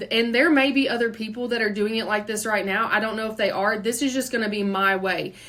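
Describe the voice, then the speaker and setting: Noticeable background noise runs behind the recording. A woman with a Kentucky accent talks at a very fast pace with a fairly high pitch. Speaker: podcast host, entrepreneur. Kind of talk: unscripted solo podcast monologue. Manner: casual, conversational.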